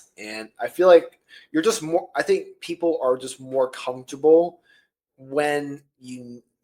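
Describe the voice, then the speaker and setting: A man's dark, mellow voice at a fairly high pitch, fairly slow, with ordinary pitch variation and big swings in loudness. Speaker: YouTube filmmaker and podcast host. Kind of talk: casual chat. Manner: animated on camera.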